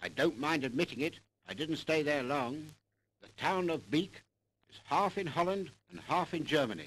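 A man's fairly high voice with vocal fry, ordinary pitch variation and an upbeat tone at a moderate pace. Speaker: newsreel cameraman. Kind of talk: 1944 newsreel narration, a wartime eyewitness account read to the public. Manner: brisk, clipped and upbeat, with patriotic fervor; formal, proud, declamatory BBC-style delivery.

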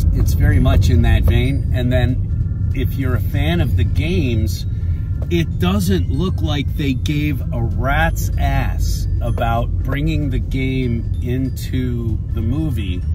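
Over loud background noise, a man speaks at a very slow pace in a dry sound with no echo. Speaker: vlogger. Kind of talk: casual vlog chat. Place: car. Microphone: phone near.

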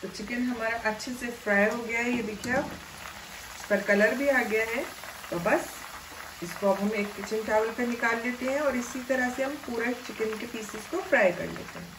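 The background carries noticeable noise. A woman talks at a moderate pace with ordinary pitch variation. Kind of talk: tutorial. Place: kitchen.

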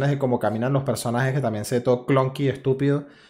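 Someone speaks at a very fast pace. The voice carries a Venezuelan accent. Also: man. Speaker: podcast host. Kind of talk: casual chat. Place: home room. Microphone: studio mic.

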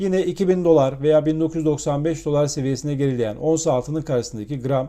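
His voice has a dark, mellow tone and sits fairly high for a man, with ordinary pitch variation. He speaks at a moderate pace against a quiet background. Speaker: financial markets commentator. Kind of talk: market commentary monologue.

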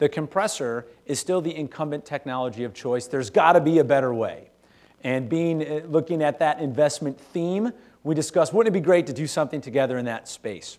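His delivery is fairly quick. The man's pitch rises and falls in an ordinary way. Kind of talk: conference talk. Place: hall. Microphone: podium.

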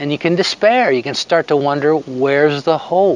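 A man's voice, dry with no echo. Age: 60s. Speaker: devotional speaker. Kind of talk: devotional talk to camera. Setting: outdoors. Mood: hopeful, earnest. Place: open country. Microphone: phone near.

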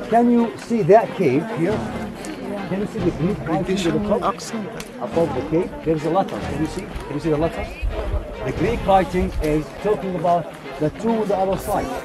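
Clear music plays in the background. Over it, a man speaks with ordinary pitch variation. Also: moderate pace. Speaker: tour guide. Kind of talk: guided tour explanation. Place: open country. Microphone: phone near.

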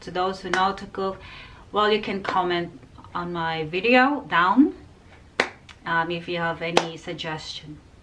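A woman speaks in a fairly low voice with ordinary pitch variation and long, frequent pauses. Noticeable background noise runs underneath. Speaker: home cooking vlogger. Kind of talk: casual vlog chat. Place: kitchen. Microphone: phone near.

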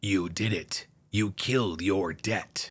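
Using a put-on character voice, a man speaks fairly slowly in a fairly low pitch. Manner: evil, gloating.

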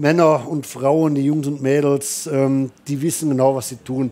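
A man's dark, mellow voice moves along at a fairly slow pace. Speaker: motorsport commentator. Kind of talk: live commentary. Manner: animated.

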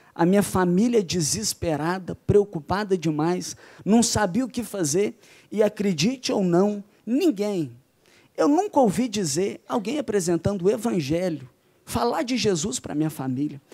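Here a man speaks at a high pitch with a dark, mellow tone and lively intonation. The recording is very clean, with a silent background. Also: moderate pace. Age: young. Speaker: youth pastor. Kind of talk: testimony.

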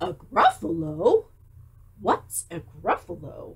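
A put-on character voice that sounds female, pitched in the middle range and delivered at a very slow pace. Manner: sly, coaxing.

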